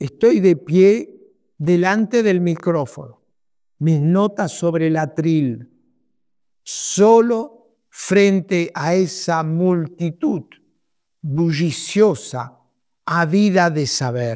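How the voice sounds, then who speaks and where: A man talks very slowly, leaving long, frequent pauses. His voice is high-pitched with a dark, mellow tone and lively intonation. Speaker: psychoanalyst and author. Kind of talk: reading aloud his own book prologue. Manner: formal.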